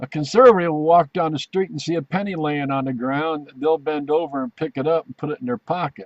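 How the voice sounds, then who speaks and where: A man talks at a fairly quick pace with hardly any pauses, in a normal speaking voice. His pitch is fairly high, with ordinary pitch variation. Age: 60s. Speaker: veteran video commentator. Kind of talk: casual video commentary.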